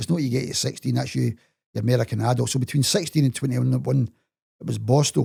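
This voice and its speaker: In a Glaswegian accent, a man talks very fast with a dry, close sound and no echo. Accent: Glaswegian Scottish. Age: 70s. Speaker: interviewee telling life story. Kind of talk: casual interview.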